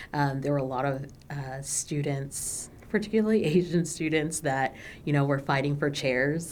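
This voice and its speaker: With an American accent, a woman speaks at a moderate pace in a very deep, low voice with ordinary pitch variation, and audible room echo surrounds her. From Texas, Dallas area. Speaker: minister. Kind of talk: oral history interview. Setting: recording studio. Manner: hesitant, many filler words.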